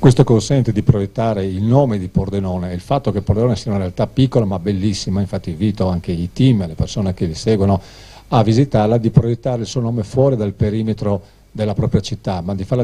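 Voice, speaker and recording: A man's fairly low voice, somewhat breathy and dark and mellow in tone, with ordinary pitch variation at a very fast pace. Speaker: city mayor. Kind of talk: formal speech. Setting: press conference. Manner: formal.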